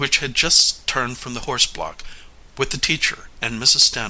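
A passage in plain reading aloud

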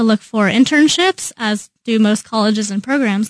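A woman with an American accent and an unremarkable speaking voice talks at a moderate pace and fairly high pitch. The sound is dry and close, with no echo. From Kansas, Overland Park. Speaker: design intern. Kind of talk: casual chat. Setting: radio studio.

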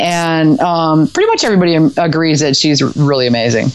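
Fairly low female speech at a moderate pace, ordinary pitch variation, noticeable background noise. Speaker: podcast co-host. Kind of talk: casual chat.

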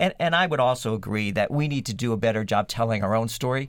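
A man's ordinary speaking voice at medium pitch, at a fairly quick pace, on a very clean recording with a silent background. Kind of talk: radio panel discussion.

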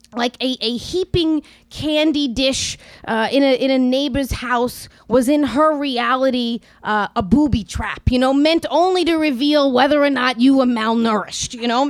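In a New York accent, a woman speaks at a high pitch. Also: ordinary pitch variation, moderate pace. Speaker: storyteller and writer. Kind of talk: live storytelling. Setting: stage with audience. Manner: halting, many fillers.

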